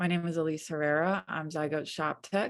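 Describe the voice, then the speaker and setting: A woman speaks softly. The background is quiet. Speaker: print studio technician, webinar moderator. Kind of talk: webinar introduction. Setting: video call webinar. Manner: soft-spoken.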